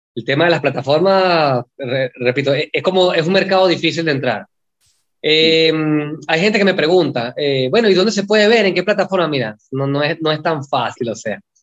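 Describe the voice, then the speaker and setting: At a moderate pace, it shows ordinary pitch variation. This is a plain, everyday voice. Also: man, fairly high pitch for a man. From Venezuela. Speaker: film director. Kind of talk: interview.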